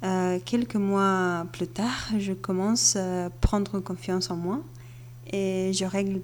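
At a very slow pace, a woman speaks in a fairly low pitch. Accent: Bulgarian. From Bulgaria. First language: Bulgarian (speaking French). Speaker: podcast listener. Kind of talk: recorded voice message.

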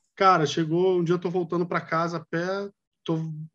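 Fairly even intonation at a moderate pace. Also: man. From Brazil, Rio de Janeiro. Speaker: industrial designer. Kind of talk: casual chat.

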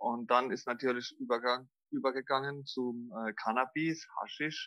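The speaker is a man at a medium pitch with ordinary pitch variation. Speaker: extreme trail runner and former heroin addict. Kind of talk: personal interview testimony. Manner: halting, many fillers.

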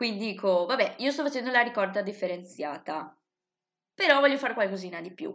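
A woman with a plain, everyday voice speaks at a fairly high pitch, her intonation lively and her loudness rising and falling by big amounts. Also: fairly quick pace. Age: 20s. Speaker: psychology student and YouTuber. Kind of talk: interview.

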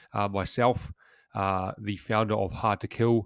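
A man with a New Zealand accent speaks at a moderate pace in a fairly low, monotone, flat voice, with a dry, close sound, no echo, and a very clean recording with a silent background. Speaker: former commando turned business founder. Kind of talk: solo podcast monologue. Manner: casual, with frequent fillers.

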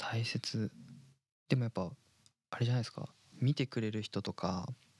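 A somewhat breathy man with a slight Kansai accent speaks at a moderate pace and a medium pitch with ordinary pitch variation, recorded very cleanly with a silent background and a dry, close sound with no echo. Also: long, frequent pauses. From Osaka, Fujiidera. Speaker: anime producer. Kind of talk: casual chat.

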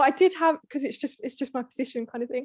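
High-pitched female speech with a British accent at a moderate pace, dry and close with no echo. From UK. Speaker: podcast guest. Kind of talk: casual chat.

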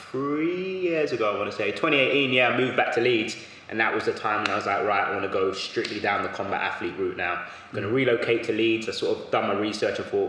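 A man talking at a very fast pace amid noticeable background noise and audible room echo. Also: hardly any pauses. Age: 20s. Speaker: strength and conditioning coach. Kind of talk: casual chat.

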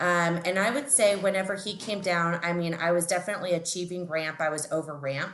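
Speaking at a fairly quick pace with hardly any pauses, a woman with an American accent is heard over noticeable background noise. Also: fairly low pitch for a woman, ordinary pitch variation. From Texas, Houston. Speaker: regional sales director. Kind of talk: casual interview. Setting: at home, remote call.

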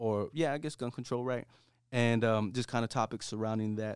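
In a very clean recording with a silent background, a man with an ordinary speaking voice at medium pitch talks at a fairly quick pace with fairly even intonation. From US, Mexican-American. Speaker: podcast co-host. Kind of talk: casual chat. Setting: studio.

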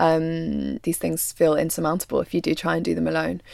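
A woman with a London accent talks at a fairly quick pace. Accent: southern English (London). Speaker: documentary photographer and filmmaker. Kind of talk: interview conversation.

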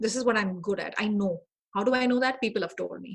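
Her voice is somewhat breathy and fairly high in pitch for a woman. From India. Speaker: HR director and career strategist. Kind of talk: interview conversation.

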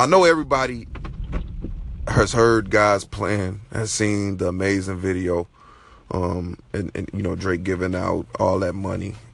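Against noticeable background noise, a man with a fairly low voice talks at a fairly slow pace. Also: ordinary pitch variation. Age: 30s. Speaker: podcast host. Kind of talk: casual monologue. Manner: halting, many repeated words.

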